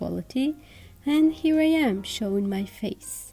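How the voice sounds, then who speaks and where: Fairly slow, somewhat breathy speech with a dark, mellow tone and lively intonation. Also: woman. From Georgia (country). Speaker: artist YouTuber. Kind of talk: vlog monologue.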